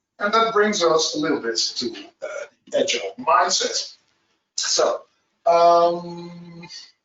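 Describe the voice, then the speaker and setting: A man speaks at a very slow pace. His delivery has long, frequent pauses. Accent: Dutch. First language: Dutch. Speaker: agile trainer. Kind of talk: webinar presentation. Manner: halting, many fillers.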